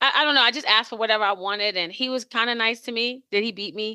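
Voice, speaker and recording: Loud and bright with a sharp tone, a woman talks fairly quickly at a fairly high pitch, the sound dry and close with no echo over a quiet background. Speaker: podcast co-host. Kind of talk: casual chat.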